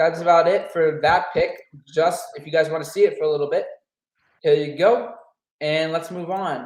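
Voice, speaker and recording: A man talks at a moderate pace with long, frequent pauses. His loudness swings a lot. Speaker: sports podcast co-host. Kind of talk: casual chat. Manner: halting.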